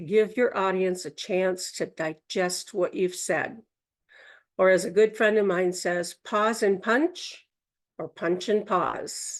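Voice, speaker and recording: A woman speaks very slowly at a medium pitch. The background is quiet. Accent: Minnesota. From Minnesota, US Midwest. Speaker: Toastmasters speaker, workshop presenter. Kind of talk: educational talk at a Toastmasters session. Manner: instructive, conversational.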